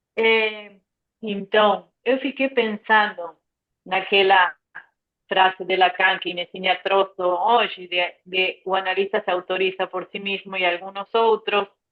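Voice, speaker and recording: Speaking at a fairly slow pace, a woman with an Argentine accent keeps her intonation fairly even. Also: medium pitch for a woman. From Argentina, Tucumán. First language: Spanish (speaking Portuguese). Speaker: psychoanalyst. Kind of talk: group discussion. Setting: video call. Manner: halting.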